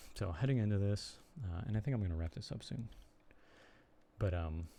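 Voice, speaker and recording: A man speaks with an American accent at a moderate pace and fairly low pitch. His voice is somewhat breathy, with lively intonation. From US Midwest, Chicago area. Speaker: streamer and blogger. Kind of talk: casual live stream chat. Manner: halting, many fillers.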